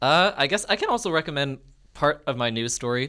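A man with a Canadian accent and a bright, sharp tone. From Winnipeg, Canada. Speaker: student podcast co-host. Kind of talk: casual chat. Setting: studio.

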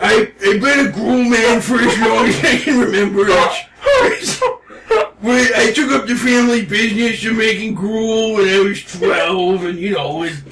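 A put-on character voice from a man, high-pitched, at a moderate pace. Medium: actual play. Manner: flat, deadpan, barely moving lips.

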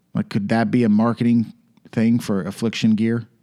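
With an American accent and a playful tone, a man speaks at a medium pitch and moderate pace in a dark, mellow voice with fairly even intonation, the sound dry and close with no echo and the recording very clean against a silent background. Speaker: podcast co-host. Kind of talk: casual banter with Bible study. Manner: joking, playful.

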